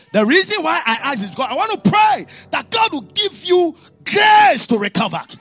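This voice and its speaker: A man shouts at a moderate pace in an extremely high, animated voice with very wide pitch swings. Music plays behind him. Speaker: preacher. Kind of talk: sermon with prayer and congregation call-and-response. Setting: church service with live congregation and online audience. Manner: animated, exhorting, rising preaching cadence with commands to the congregation; storytelling with mimicked dialogue and humor.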